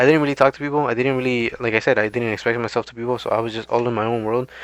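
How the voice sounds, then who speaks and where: With fairly even intonation, a man at medium pitch rattles off his words at a very fast pace. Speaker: gaming commentary youtuber. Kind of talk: casual commentary monologue. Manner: fast, rambling; halting, repeats words.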